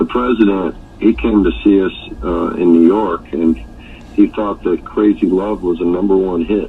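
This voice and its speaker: Speech comes at a moderate pace with ordinary pitch variation. Noticeable background noise runs underneath. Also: man, very deep, low pitch for a man. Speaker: rock singer, real estate developer. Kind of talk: interview answer.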